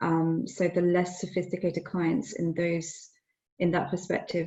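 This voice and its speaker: A woman with a British accent, a fairly low pitch and vocal fry. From UK. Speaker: lawyer. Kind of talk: panel discussion. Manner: hesitant, many fillers.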